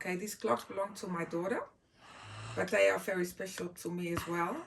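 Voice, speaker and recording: A woman's fairly low voice at a moderate pace with ordinary pitch variation, over noticeable background noise. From Netherlands, Groningen in the north. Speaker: speaker sharing personal items. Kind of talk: personal show-and-tell talk. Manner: halting, many fillers.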